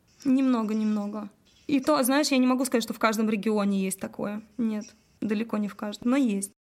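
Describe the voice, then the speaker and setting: With an unremarkable speaking voice, a woman talks at a fairly quick pace, fairly high in pitch, her intonation fairly even. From Russia, Udmurtia (Glazov). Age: 30s. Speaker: singer and cover band director. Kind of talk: casual interview chat.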